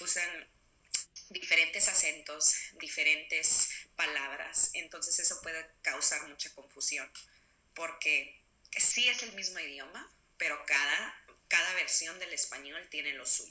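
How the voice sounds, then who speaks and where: Woman with a Mexican accent at a fairly slow pace, loudness swinging widely. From Texas, Mexican-American family. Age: 20s. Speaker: interviewee. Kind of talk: interview.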